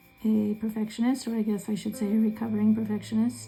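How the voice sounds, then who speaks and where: The speech moves at a fairly quick pace in a relaxed tone, with music in the background. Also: woman. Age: 60s. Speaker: mandala art teacher. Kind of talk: tutorial. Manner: casual, relaxed with filler words.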